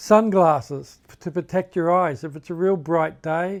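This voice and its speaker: In a very clean recording with a silent background, a man with a fairly high pitch and ordinary pitch variation speaks at a moderate pace. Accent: Australian. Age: 60s. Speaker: hiking vlogger. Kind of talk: casual tutorial. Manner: halting, self-correcting.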